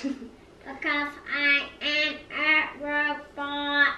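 A put-on character voice sits at a high pitch with a monotone, flat intonation. Clear background noise is audible. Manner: robotic.

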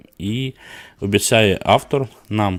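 Very clean recording of a man speaking at a fairly low pitch, the background silent. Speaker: board game news host. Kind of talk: live stream news roundup. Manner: filler-heavy, hesitant (e, e).

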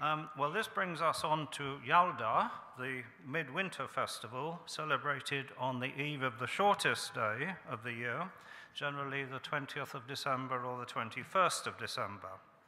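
A normal speaking voice, with ordinary pitch variation and a moderate pace. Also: man, fairly high pitch for a man. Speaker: archaeologist and ancient historian. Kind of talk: introductory talk to an audience. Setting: event hall with audience. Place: hall. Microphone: podium.

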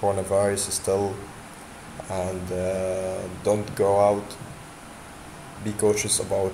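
A man's fairly low voice stays monotone and flat over noticeable background noise. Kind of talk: tutorial. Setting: screen recording. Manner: halting, with frequent repetitions and fillers.

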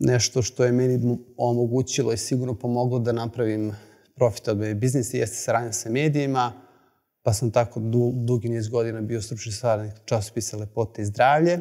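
A man's dark, mellow voice at a fairly quick pace, fairly even in intonation, against a quiet background. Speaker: presenter. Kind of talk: lecture. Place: hall.

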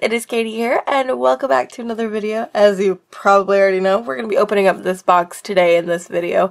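Over noticeable background noise, a woman talks at a fairly quick pace with a fairly high pitch and hardly any pauses. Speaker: art YouTuber. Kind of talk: product unboxing and review. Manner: casual, chatty.

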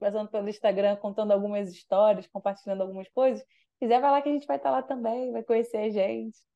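A woman speaks in a dark, mellow tone. Behind her the background is quiet. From Brazil, Rio de Janeiro. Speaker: youth event organizer; radio guest. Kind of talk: casual radio interview. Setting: radio studio. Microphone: video call.

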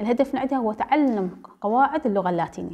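A woman's fairly high, dark and mellow voice at a very fast pace, with ordinary pitch variation. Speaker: translation lecturer. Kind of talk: lecture.

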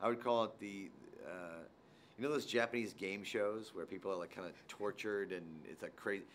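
Over light background noise, a man talks at a fairly quick pace with ordinary pitch variation. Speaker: actor promoting a film. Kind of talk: interview answer. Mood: amused, joking.

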